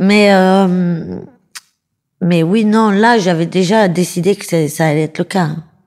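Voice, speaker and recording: The speech goes very slowly with long, frequent pauses and fairly even intonation. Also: woman, medium pitch for a woman. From Paris suburbs, France. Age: 30s. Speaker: comedian. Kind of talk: interview.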